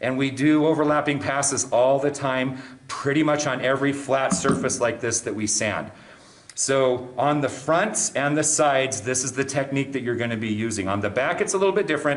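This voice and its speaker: Noticeable background noise sits behind a man speaking at a moderate pace. His medium pitch shows ordinary variation. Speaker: woodworking instructor. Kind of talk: tutorial. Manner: clearly enunciated.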